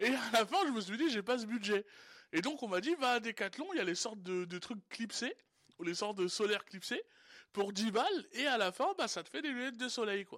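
In a high pitch, a man talks at a fairly quick pace with lively intonation. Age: 20s. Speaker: homeless person, radio columnist. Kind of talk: casual chat. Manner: halting.

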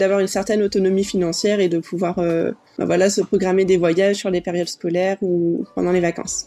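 Music plays behind a woman with a medium pitch. She speaks at a fairly quick pace with fairly even intonation. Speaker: work-study student. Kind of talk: interview.

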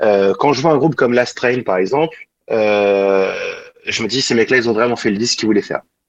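A man with a plain, everyday voice talks at a fairly quick pace, his medium pitch varying in an ordinary way. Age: 40s. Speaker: singer-guitarist. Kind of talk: interview.

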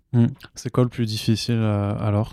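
On a very clean recording with a silent background, a man speaks in a fairly low, dark and mellow voice with flat, monotone intonation. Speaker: podcast host. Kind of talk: casual interview. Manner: subdued.

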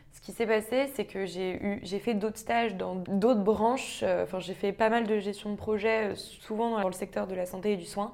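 A woman with a normal speaking voice talks fairly slowly at a medium pitch, with fairly even intonation, hardly any pauses and big swings in loudness. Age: 20s. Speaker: management consultant. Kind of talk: casual interview.

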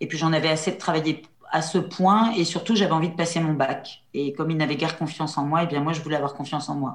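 A woman's very deep, low voice, with fairly even intonation and a very fast pace. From central France, near La Châtre. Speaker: trainer and coach. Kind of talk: interview conversation. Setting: video call. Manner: hesitant, many fillers.

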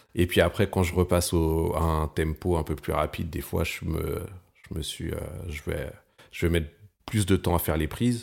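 A man with a very deep, low pitch at a moderate pace, fairly even intonation and long, frequent pauses. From Val-d'Oise, near Paris, France. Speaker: bassist. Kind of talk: casual interview chat.

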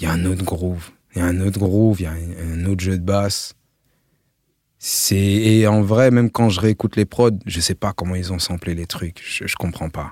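In a very clean recording with a silent background, a man speaks at a moderate pace with a very deep, low pitch and fairly even intonation. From France, Melun. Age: 30s. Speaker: music producer. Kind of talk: casual chat.

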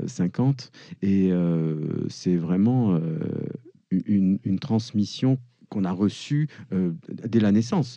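Against a quiet background, a dark, mellow voice moves at a very slow pace with long, frequent pauses and lively intonation. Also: man, fairly low pitch for a man. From France. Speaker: musician and composer. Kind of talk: interview. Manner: halting, many repetitions.

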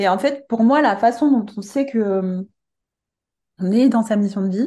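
A woman's fairly high, dark and mellow voice at a fairly slow pace, with ordinary pitch variation and a quiet background. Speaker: coach and medium. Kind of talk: casual interview chat. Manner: soft-spoken; hesitant, many filler words.

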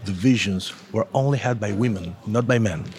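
With an Argentine accent, a man speaks at a moderate pace in a fairly low pitch, somewhat breathy, with ordinary pitch variation. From Argentina. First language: Spanish. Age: 40s. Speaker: comic book artist. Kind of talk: interview. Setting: comics festival. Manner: halting.

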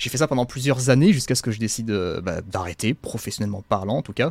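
Heard in a dry, close sound with no echo, a man talks at a very fast pace. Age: 20s. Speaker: self-published fantasy author and YouTuber. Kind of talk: casual interview. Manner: halting, repeats words.

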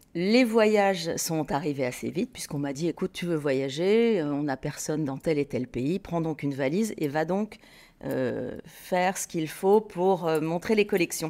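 A woman with a dark, mellow tone speaks at a fairly slow pace and fairly low pitch with lively intonation, recorded very cleanly against a silent background. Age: 50s. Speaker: textile business co-founder. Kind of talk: interview conversation. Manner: hesitant, with frequent repetitions.

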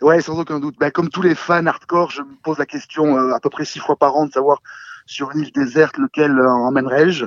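Here a man speaks in a fairly high pitch with fairly even intonation. His loudness swings widely. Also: fairly quick pace. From southern France (Cannes). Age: 40s. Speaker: film director and fan. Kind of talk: casual chat. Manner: halting, repeats words.

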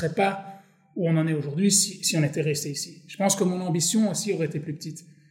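The man has a high-pitched voice with ordinary pitch variation. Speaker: startup co-founder. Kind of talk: casual interview.

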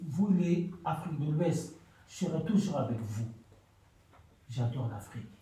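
Through audible room echo, a man with a dark, mellow tone speaks very slowly with long, frequent pauses and lively intonation. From Mali. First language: a Malian language (speaking French). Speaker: cook, homeless person. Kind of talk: radio testimony. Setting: community radio studio.

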